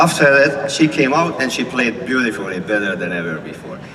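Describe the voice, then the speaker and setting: Noticeable background noise sits behind a man with a Hungarian accent. He speaks fairly quickly at a medium pitch with lively intonation. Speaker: symphony conductor. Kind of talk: speech to an outdoor concert audience.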